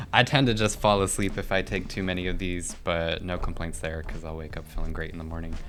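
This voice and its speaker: A man with a very deep, low voice speaks very fast with hardly any pauses and ordinary pitch variation. Audible room echo and music in the background can be heard. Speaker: cannabis company employee. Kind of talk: casual chat. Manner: soft-spoken; mumbling.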